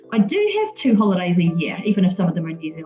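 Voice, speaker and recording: A woman rattles along at a very fast pace while noticeable background noise plays behind her. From England, West Sussex. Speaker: mortgage and insurance adviser. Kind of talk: podcast interview.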